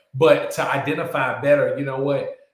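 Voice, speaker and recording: The voice belongs to a man. The room adds an audible echo. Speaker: podcast co-host and parent. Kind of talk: casual chat. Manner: loud.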